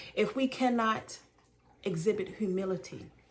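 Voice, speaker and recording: A woman speaks with an American accent. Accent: Southern and Baltimore twang. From Baltimore, US. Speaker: spiritual teacher. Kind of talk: spiritual teaching monologue.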